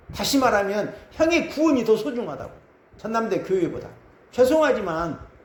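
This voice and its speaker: A man's high voice with very wide pitch swings at a moderate pace, amid audible room echo. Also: long, frequent pauses. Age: 60s. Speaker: pastor. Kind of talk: sermon.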